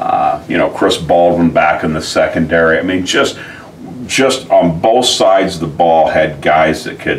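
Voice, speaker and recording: Light background noise sits behind this speaker. He is a man talking at a moderate pace. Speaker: football coach. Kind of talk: interview answer. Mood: fond, amused reminiscing. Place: office.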